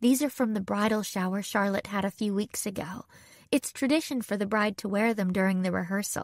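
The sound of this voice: Pitch varies in an ordinary way in an unforced reading voice.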